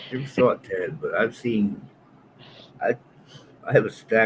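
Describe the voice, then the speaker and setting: A moderate pace over noticeable background noise. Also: man. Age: 60s. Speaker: co-host. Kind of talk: casual chat.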